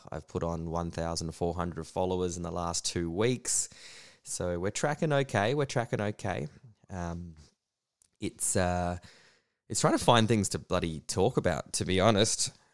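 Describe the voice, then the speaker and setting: A man with an Australian accent, very deep, low pitch, lively intonation and a moderate pace, on a very clean recording with a silent background. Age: 30s. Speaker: comedian. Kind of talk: casual monologue.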